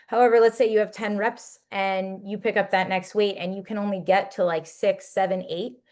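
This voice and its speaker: Fairly quick speech from a woman at medium pitch, quiet background. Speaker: fitness coach. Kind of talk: fitness webinar talk. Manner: fast; animated.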